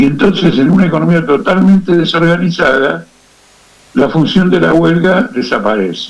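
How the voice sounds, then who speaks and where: A man with a high voice speaks at a moderate pace with lively intonation and very even loudness, over noticeable background noise and audible room echo. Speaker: political activist and analyst. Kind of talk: radio interview.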